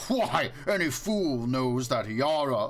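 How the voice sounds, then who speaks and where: A man speaks in a put-on character voice with a fairly high pitch. His pace is fairly slow, and background noise is clearly heard. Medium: read story. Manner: loud, bellowing, mocking.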